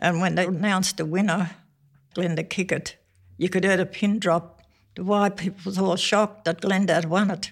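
A woman speaks at a moderate pace and a medium pitch. Her intonation is monotone and flat. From Western Australia, Noongar country. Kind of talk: oral history interview.

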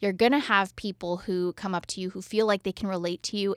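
Talking at a fairly quick pace, a woman with a normal speaking voice and medium pitch comes across on a very clean recording with a silent background and a dry, close sound with no echo. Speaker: radio show host. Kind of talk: casual chat.

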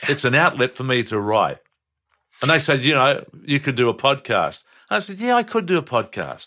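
With an Australian accent and a bright, sharp tone, a man speaks at a fairly quick pace, his fairly high pitch carried by lively intonation in a very clean recording with a silent background. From Brisbane, Australia. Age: 70s. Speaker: retired breakfast radio host. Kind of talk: casual chat.

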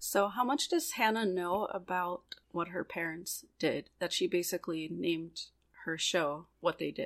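A woman speaks at a fairly slow pace in an ordinary speaking voice, her pitch fairly low, on a very clean recording with a silent background. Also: ordinary pitch variation. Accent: American. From Pittsburgh, Pennsylvania. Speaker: podcast co-host. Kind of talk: casual chat.

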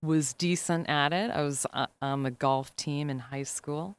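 Recorded very cleanly against a silent background, a woman with a Chicago accent talks with fairly even intonation. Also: dry, close sound with no echo. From Chicago, South Side. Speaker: lawyer. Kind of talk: casual chat.

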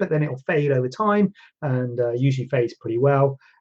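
A man's fairly high voice, dark and mellow in tone, somewhat breathy, at a very fast pace. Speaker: plastic surgeon hosting a Q&A show. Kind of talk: live-streamed Q&A, casual chat. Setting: live stream on social media with green screen. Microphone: no microphone on Instagram, device audio only.

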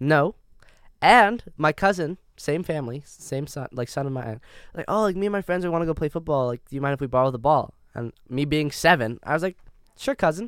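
A man talks in a normal speaking voice with a Canadian accent, fairly high in pitch and with lively intonation. He keeps a fairly quick pace in a very clean recording with a silent background. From Canada. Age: 20s. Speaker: podcast co-host. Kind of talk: casual chat.

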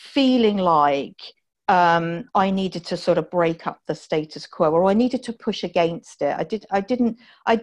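Against a quiet background, a woman with an American accent speaks fairly slowly, her intonation lively. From southern England (Dorset). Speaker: healthtech CEO and entrepreneur. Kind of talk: interview. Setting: remote call from home. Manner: plain, down-to-earth.

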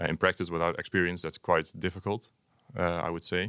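A man speaks with a Dutch accent in a very deep, low voice. The sound is dry and close with no echo, on a very clean recording with a silent background. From Netherlands, Hengelo. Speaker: design teacher and PhD student. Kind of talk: interview. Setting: studio.

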